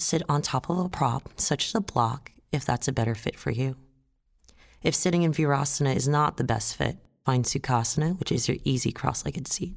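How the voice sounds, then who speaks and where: A woman's very deep, low voice, calm and soothing, fairly quick, with very even loudness and ordinary pitch variation. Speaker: yoga instructor. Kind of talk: guided yoga instruction. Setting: audio guided class. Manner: calm, soothing.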